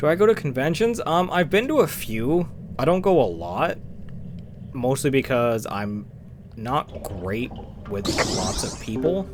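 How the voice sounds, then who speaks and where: Soft-spoken and at a fairly slow pace, a man with a medium pitch makes very wide pitch swings and long, frequent pauses, with noticeable background noise. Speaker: gaming streamer. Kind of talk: live stream chat while gaming. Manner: quiet.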